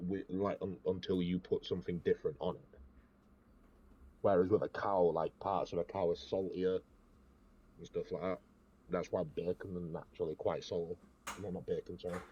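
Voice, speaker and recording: A man speaks with an English accent at a moderate pace. He leaves long, frequent pauses. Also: dry, close sound with no echo. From England. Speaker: podcast host. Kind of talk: casual chat. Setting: Discord voice call.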